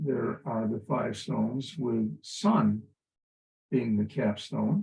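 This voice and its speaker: A man speaks at a very slow pace with a dark, mellow tone, somewhat breathy, his pitch swinging very widely. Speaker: spiritual teacher. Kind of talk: recorded spiritual teaching monologue. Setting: at home, early morning. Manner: soft-spoken; halting, with fillers.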